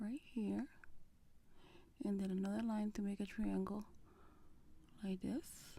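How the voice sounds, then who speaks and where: A soft-spoken woman at medium pitch talks at a fairly slow pace in a dark, mellow, somewhat breathy tone, with very even loudness, fairly even intonation and long, frequent pauses. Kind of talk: ASMR makeup tutorial, casual talk to camera. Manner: soft-spoken, relaxing.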